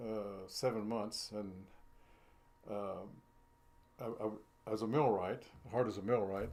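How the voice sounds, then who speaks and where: A man's fairly low-pitched voice with an American accent, fairly even intonation, a fairly slow pace, long, frequent pauses and audible room echo. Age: 80s+. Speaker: retired millwright. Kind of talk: interview, life story. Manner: halting, many fillers.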